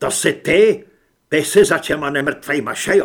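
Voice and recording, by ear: Shouting in a put-on character voice, a man uses a fairly high pitch, lively intonation, vocal fry and a slightly husky edge.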